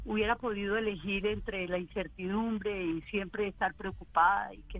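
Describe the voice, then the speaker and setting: An unremarkable speaking voice carries fairly even intonation. The pace is fairly quick. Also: woman. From Colombia, Armenia. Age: 50s. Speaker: adoptee, marketing expert. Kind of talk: testimony.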